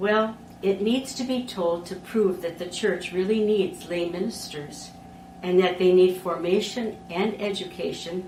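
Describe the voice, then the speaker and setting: The voice comes with a Wisconsin accent. Noticeable background noise and audible room echo are present. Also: woman. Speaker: lay ministry educator. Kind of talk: conference presentation. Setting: conference talk recording. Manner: formal.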